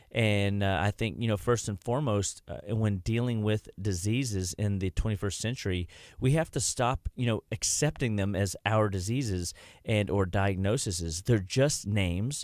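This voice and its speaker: On a very clean recording with a silent background and a dry, close sound with no echo, a man talks at a moderate pace with ordinary pitch variation. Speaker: nutrition doctor, radio show host. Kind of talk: radio health talk show. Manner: halting, many fillers and restarts.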